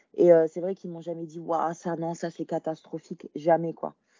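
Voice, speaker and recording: A woman's fairly low-pitched voice at a fairly slow pace. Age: 20s. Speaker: female bodybuilding competitor. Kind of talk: casual chat. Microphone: bad connection.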